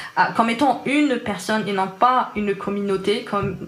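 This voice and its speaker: A woman talks with an Algerian accent at a fairly slow pace. Her pitch is medium, and the room echo is audible. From Algeria, Algiers. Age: 20s. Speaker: software developer. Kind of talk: interview. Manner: hesitant, many fillers.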